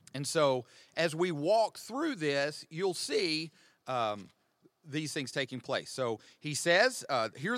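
A man with an American accent speaks in an unremarkable speaking voice, fairly high in pitch and with lively intonation, at a fairly slow pace on a very clean recording with a silent background. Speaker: pastor. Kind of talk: teaching discussion on a podcast. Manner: conversational, joking.

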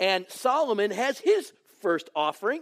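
A man talks loudly at a high pitch with an American accent, his tone animated and his intonation lively, in a dry, close sound with no echo. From Michigan, Detroit. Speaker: pastor. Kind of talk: sermon. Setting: church.

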